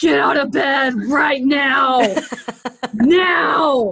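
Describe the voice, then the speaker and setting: A female-sounding, high-pitched, gravelly put-on character voice carries this clip. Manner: stern, commanding.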